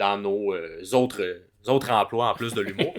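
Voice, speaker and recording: With a Quebec accent, a man talks at a fairly slow pace. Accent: Québécois French. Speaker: podcast co-host and comedian. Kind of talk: casual podcast chat.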